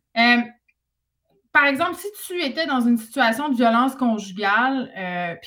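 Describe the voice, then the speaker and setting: At a high pitch and fairly slow pace, a woman speaks with ordinary pitch variation. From Quebec, Saguenay (Jonquière). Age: 30s. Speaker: author and radio host. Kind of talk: casual chat.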